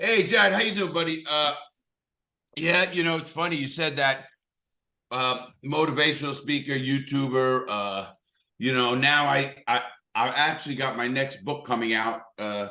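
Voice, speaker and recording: Speaking at a moderate pace, a man with a strong New York accent has a bright, sharp tone and ordinary pitch variation. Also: fairly high pitch for a man. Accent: thick New York. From New York City (Bronx, Brooklyn). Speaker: motivational speaker, ex-convict. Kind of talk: podcast interview.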